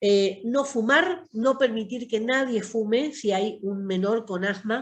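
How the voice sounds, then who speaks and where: In a fairly high voice with ordinary pitch variation, a woman speaks at a very slow pace. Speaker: pharmacy course teacher. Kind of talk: online lecture. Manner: long breath phrases.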